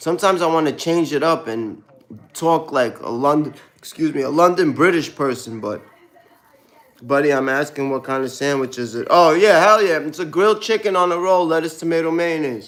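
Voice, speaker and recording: A man with a Brooklyn accent, fairly high-pitched with ordinary pitch variation, at a fairly quick pace. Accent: New York, Brooklyn. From US Northeast (Brooklyn, New York). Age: 30s. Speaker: live streamer. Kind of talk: casual live stream chat. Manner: casual, slang-heavy.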